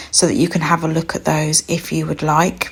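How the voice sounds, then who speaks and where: Soft-spoken, a woman talks with a British accent. Her tone is calm. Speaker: art teacher. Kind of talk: tutorial.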